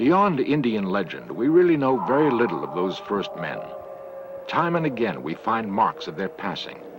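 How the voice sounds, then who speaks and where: Against noticeable background noise, a man of medium pitch speaks at a moderate pace with very wide swings in pitch. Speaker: TV documentary narrator. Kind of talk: documentary narration.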